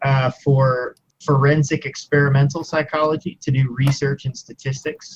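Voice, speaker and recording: Monotone and flat, a man with an American accent speaks in a somewhat breathy voice at a fairly high pitch and moderate pace. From US Midwest, Missouri Ozarks. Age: 20s. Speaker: university student, YouTuber. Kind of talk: interview.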